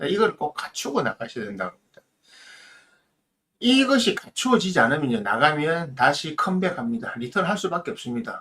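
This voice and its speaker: Here a man speaks at a moderate pace with a high pitch and a bright, sharp tone. His pitch swings very widely and his loudness swings a lot. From South Korea, Busan. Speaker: mentor, channel host. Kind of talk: edited live-stream talk, advice monologue. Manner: emphatic, exhortative.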